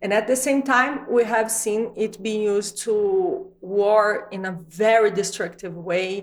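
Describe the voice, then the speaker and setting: A woman with a Brazilian accent speaks at a fairly slow pace with hardly any pauses, using a fairly high pitch and ordinary pitch variation. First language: Portuguese. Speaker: videocast host. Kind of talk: interview.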